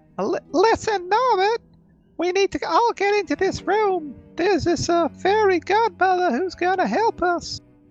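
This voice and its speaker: The put-on character voice is squeaky. Faint music plays in the background. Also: moderate pace. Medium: actual play. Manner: hushed.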